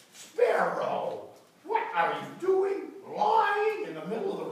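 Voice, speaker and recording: Delivered at a fairly slow pace, this put-on character voice sits at an extremely high pitch with a strong echo around it. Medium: read story. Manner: surprised, scolding.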